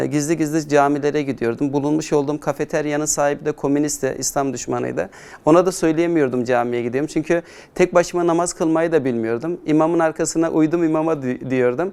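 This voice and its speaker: A man with an ordinary speaking voice, fairly high in pitch, with ordinary pitch variation and a fairly quick pace. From Turkey, Adana. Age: 40s. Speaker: Islamic educator. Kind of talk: conversion testimony interview.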